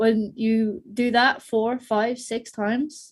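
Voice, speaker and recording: A woman with an Irish accent sounds somewhat breathy. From Ireland. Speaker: podcast industry expert. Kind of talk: panel discussion / webinar Q&A. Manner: casual, animated.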